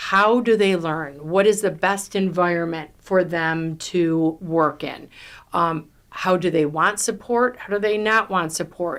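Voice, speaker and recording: A woman with a New York accent at a medium pitch, with ordinary pitch variation, on a very clean recording with a silent background. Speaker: real estate team leader. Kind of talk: podcast interview. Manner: loud.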